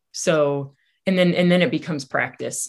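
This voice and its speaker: This woman has a plain, everyday voice with a fairly low pitch. She speaks at a moderate pace against a quiet background. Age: 40s. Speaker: life coach. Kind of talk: interview.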